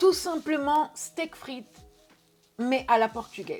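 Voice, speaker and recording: A woman speaking at a very slow pace, with music in the background. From Portugal. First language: Portuguese (speaking French). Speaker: YouTuber. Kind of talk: casual Q&A video. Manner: hesitant, many filler words.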